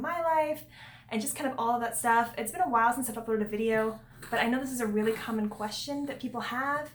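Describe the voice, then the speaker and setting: This woman's pitch sits fairly high. She has a plain, everyday voice. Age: 20s. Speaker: vlogger and single foster parent. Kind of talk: casual vlog talk. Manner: conversational with many fillers.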